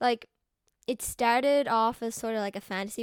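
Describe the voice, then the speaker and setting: A woman's high-pitched voice with ordinary pitch variation at a moderate pace, dry and close with no echo, on a very clean recording with a silent background. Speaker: artist and video creator. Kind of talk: casual commentary over speedpaint. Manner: casual, rambling with fillers.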